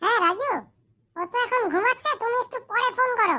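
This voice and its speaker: A squeaky, cartoonish character voice, female-sounding, with an extremely high pitch. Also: moderate pace. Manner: suspicious, pointed.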